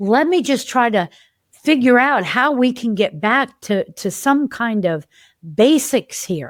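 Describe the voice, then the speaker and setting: The recording is very clean, with a silent background. A woman speaks very slowly at a high pitch with lively intonation. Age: 60s. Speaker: developmental health practitioner and podcast host. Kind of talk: casual podcast monologue. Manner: conversational, with self-interruptions and repetitions.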